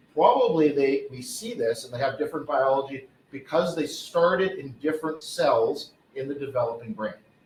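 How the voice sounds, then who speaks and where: The man has an unremarkable speaking voice, pitched fairly high. He keeps a moderate pace with lively intonation. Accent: Canadian. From Canada, mountain region. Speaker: professor, pediatric neurosurgery researcher. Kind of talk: lecture.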